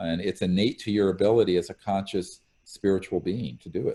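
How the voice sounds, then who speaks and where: A man with an American accent speaks at a very deep, low pitch with fairly even intonation. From US South. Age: 60s. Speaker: former physician and UFO researcher. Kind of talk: interview.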